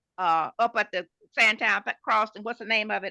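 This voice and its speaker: Against a quiet background, a woman with a bright, sharp tone and vocal fry talks at a moderate pace. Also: dry, close sound with no echo. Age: 80s+. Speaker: community resident. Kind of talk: community meeting discussion. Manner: halting.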